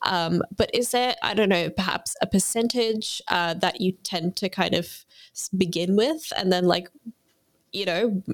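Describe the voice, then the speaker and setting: A woman with an Australian accent talks at a fairly slow pace with ordinary pitch variation, her voice sounding dry and close with no echo. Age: 20s. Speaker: podcast host. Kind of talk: interview conversation.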